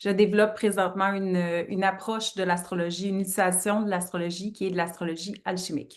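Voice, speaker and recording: A woman's medium-pitched voice in a Quebec accent, very fast and monotone with flat intonation. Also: hardly any pauses. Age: 30s. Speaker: astrologer. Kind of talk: interview.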